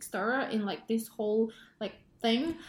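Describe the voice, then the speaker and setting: Somewhat breathy, a woman's voice sits at a fairly high pitch. She keeps a moderate pace. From Indonesia. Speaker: pharmacist, podcast co-host. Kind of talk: casual chat.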